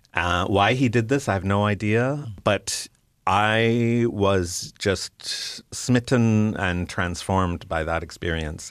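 Very slowly and with a Canadian accent, a man speaks at a fairly low pitch with ordinary pitch variation in a very clean recording with a silent background. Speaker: illustrator and cartoonist. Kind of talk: interview. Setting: studio.

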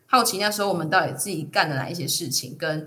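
A woman speaks at a fairly low pitch with ordinary pitch variation. Audible room echo surrounds her voice. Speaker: podcaster and freelance audio producer. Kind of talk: casual interview chat.

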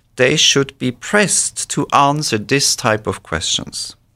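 A man with a bright, sharp tone and vocal fry speaks at a fairly slow pace. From Switzerland. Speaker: professor of Old Testament. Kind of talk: interview. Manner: measured, formal.

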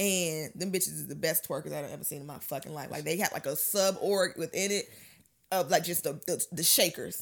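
With an American accent, a woman talks at a fairly low pitch in an animated tone, her loudness swinging widely, her pitch varying in an ordinary way, and vocal fry in her voice. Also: fairly quick pace, very clean recording, silent background. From Miami, Florida. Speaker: comedian and content creator. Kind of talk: casual chat.

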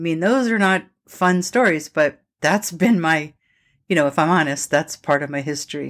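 On a very clean recording with a silent background, a woman speaks at a moderate pace. Her pitch is fairly low, with ordinary variation. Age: 60s. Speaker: podcast host. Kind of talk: personal monologue. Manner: animated.

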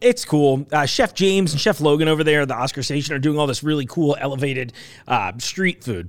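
A man with an American accent talks at a very fast pace. His intonation is lively. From New York. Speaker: podcast host for a market. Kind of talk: casual chat. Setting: studio.

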